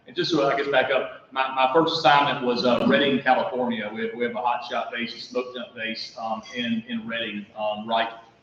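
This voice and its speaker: Hardly any pauses, with noticeable background noise. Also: man, medium pitch for a man, ordinary pitch variation, fairly quick pace. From South Carolina. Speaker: county manager. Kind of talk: talk to a club. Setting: meeting room with audience. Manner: loud; halting. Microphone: no microphone.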